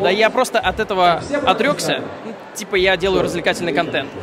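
Loud background noise sits behind a man's voice, though the sound itself is dry with no echo. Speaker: interviewee, video creator. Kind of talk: interview answer. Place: hall. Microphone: handheld.

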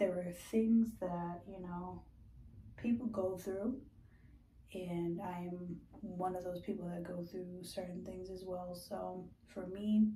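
At a very slow pace with long, frequent pauses, the speech carries audible room echo over light background noise. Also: woman, fairly even intonation. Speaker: skincare vlogger. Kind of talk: casual vlog chat. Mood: candid, reflective. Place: bathroom. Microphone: phone near.

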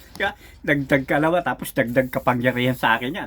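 With a medium-pitched voice, this man talks at an even, moderate speed, his pitch shifting in the usual way. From Philippines, Rizal province. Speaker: folk healer and card reader. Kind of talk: spoken tutorial monologue. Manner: casual, filler-heavy.

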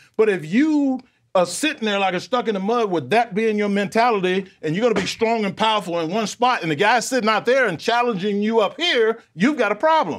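Over a quiet background, a man talks at a fairly quick pace with lively intonation and hardly any pauses. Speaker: sports show analyst. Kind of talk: commentary. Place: studio. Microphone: lapel.

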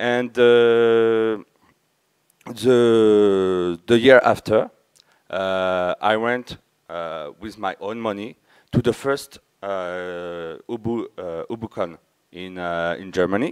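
A man at a fairly low pitch with ordinary pitch variation, very slow pace, long, frequent pauses and big swings in loudness, over a quiet background. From France (Verdun area, east). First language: French. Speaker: conference speaker, community member. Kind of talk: conference talk. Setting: stage with audience. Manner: halting. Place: hall.

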